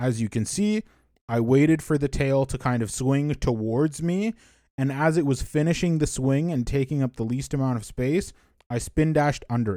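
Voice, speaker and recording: The tone is dark and mellow, with ordinary pitch variation and a moderate pace. The recording is very clean, with a silent background. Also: man, fairly high pitch for a man. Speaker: speedrunner. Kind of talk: tutorial. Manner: casual with fillers.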